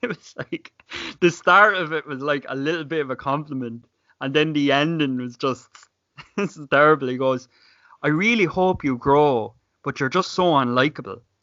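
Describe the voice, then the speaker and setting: With an Irish accent, a man speaks at a moderate pace, his fairly high pitch showing ordinary variation. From Ireland, County Clare. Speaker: YouTuber. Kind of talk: casual chat.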